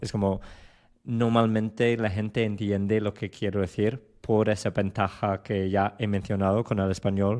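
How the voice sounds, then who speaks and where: A man with a strong English accent speaks at a fairly low pitch and a fairly slow pace. His intonation is monotone and flat against a quiet background. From England, London. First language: English (speaking Spanish). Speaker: Spanish learner. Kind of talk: casual chat. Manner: halting.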